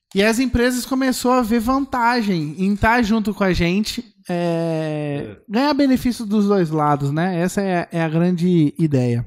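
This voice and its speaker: Pitched high for a man, he speaks at a fairly slow pace with lively intonation, very even loudness and hardly any pauses. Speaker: podcast co-host. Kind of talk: casual chat.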